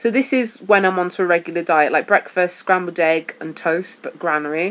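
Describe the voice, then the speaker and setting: A woman with a Welsh accent and a fairly low pitch. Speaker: vlogger sharing weight-loss surgery diet. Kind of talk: casual vlog talk. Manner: hesitant, with fillers.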